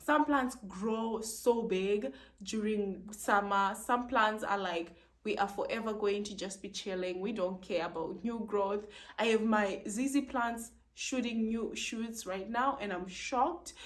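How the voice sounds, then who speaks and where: A woman with a non-native accent speaks at a fairly slow pace in a fairly high pitch, animated in tone with ordinary pitch variation, amid audible room echo. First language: not English. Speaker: plant video creator. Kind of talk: casual tutorial.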